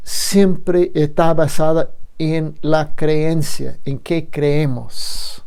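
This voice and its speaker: Through audible room echo, a woman with a non-native accent speaks at a fairly low pitch in a dark, mellow tone. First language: not Spanish (speaking Spanish). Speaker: lecturer. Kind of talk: lecture. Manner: halting, with fillers and repeats.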